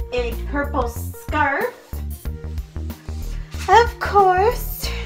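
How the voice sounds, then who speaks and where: Faint music sits in the background while a woman speaks at a very slow pace. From Ontario, Canada. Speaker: vlogger. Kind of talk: casual talk to camera. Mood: happy, excited. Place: home room. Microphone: phone near.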